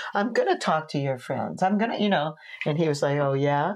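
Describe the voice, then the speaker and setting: A woman with a New York accent, fairly low in pitch, with lively intonation. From New York, Long Island. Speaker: tantra teacher. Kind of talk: casual chat. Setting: home office.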